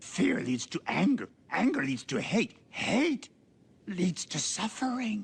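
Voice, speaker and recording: This put-on character voice is croaky and strained, pitched fairly high and delivered at a fairly slow pace. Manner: wise, measured.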